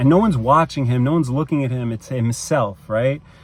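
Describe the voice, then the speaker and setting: This man's voice sits at a medium pitch with ordinary variation in its melody. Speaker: movie reviewer. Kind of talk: casual monologue review. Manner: hesitant with many repetitions.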